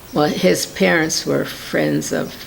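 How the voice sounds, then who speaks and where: A woman with an American accent speaks at a very slow pace. Audible room echo and noticeable background noise are present. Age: 70s. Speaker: interviewee recounting WWII internment. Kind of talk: oral history interview. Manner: halting.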